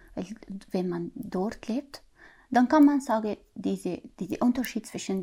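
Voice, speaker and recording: Fairly high in pitch with ordinary variation, a woman with a dark, mellow, somewhat breathy tone speaks at a moderate pace in a very clean recording with a silent background. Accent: Arabic. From Syria. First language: Arabic (speaking German). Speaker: mother of the host. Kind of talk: casual conversation, interview. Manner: halting.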